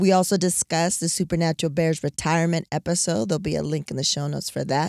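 Recorded dry and close with no echo, a woman with an American accent speaks at a fairly quick pace. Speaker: podcast host. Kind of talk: casual chat. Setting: in a car. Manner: loud.

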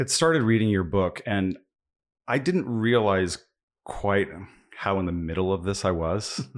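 At fairly low pitch, a man speaks at a moderate pace with ordinary pitch variation and long, frequent pauses, on a very clean recording with a silent background. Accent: American. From US Midwest, central Kansas. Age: 40s. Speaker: podcast host and orchestra conductor. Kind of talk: interview conversation. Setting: around a kitchen table in Austin.

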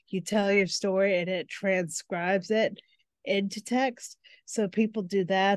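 With an American accent, a woman with a medium pitch and an unremarkable speaking voice talks at a fairly slow pace in a fairly even intonation, the sound dry and close with no echo. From United States. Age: 40s. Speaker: book development coach and editor. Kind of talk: interview.

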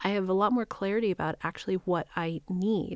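Heard on a very clean recording with a silent background, a woman with an American accent has an ordinary speaking voice, a medium pitch and ordinary pitch variation. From New Mexico, US. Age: 50s. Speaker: spiritual coach and reverend. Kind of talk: casual chat.

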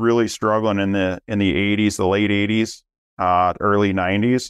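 With a Minnesota accent, a man talks at a fairly quick pace in a fairly low voice, the sound dry and close with no echo against a quiet background. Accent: Minnesota Midwestern. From Minnesota, US Midwest. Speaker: business owner, family company executive. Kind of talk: casual interview chat.

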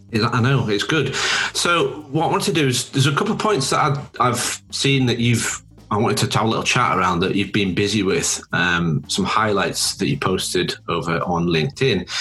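With music in the background, a man speaks at a moderate pace and medium pitch, his loudness very even and his pitch swinging very widely. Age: 40s. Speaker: podcast host, brand designer. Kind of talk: casual interview; scripted intro and outro.

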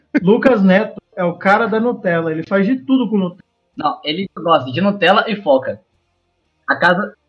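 A man with a high pitch speaks at a moderate pace with ordinary pitch variation. Music plays in the background. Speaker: podcast guest. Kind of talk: casual chat.

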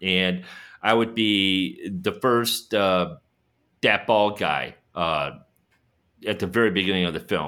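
Very even in loudness, the man talks at a very slow pace with ordinary pitch variation. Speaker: podcast co-host, super fan. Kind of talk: casual chat. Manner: animated.

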